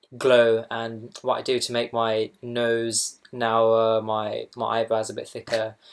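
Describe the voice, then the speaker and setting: This man has a Southern English accent. He talks at a fairly slow pace with monotone, flat intonation. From Essex, England. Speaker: doctor. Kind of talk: makeup tutorial talk to camera. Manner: hesitant, casual.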